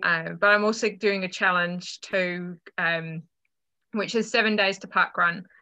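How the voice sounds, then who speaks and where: A woman talks with a bright, sharp tone. The background is quiet. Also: medium pitch for a woman, fairly slow pace. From UK. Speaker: running coach. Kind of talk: interview.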